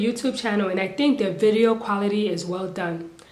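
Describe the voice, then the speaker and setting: A woman speaks at a medium pitch with ordinary pitch variation. The room echo is audible. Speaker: youtuber commentator. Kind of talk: casual commentary monologue. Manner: animated, rhetorical questions; some hesitations and stumbles.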